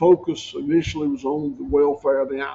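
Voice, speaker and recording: A man speaks in a Southern US accent with a dark, mellow tone and fairly high pitch. His pace is moderate and his intonation fairly even. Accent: Southern US (Georgia). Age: 60s. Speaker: farmer. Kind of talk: podcast interview.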